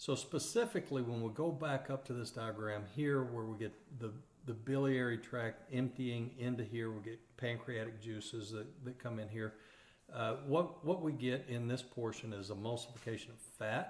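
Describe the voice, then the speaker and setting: A man with an East Texas accent talks at a moderate pace and medium pitch, somewhat breathy. His intonation is fairly even, and the room echo is audible. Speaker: radiography instructor. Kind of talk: lecture. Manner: halting, frequent fillers and repeated words.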